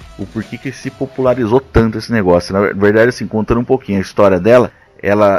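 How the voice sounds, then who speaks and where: This man's voice sits fairly low in pitch. Noticeable background noise runs behind him. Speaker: podcast host. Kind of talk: casual chat.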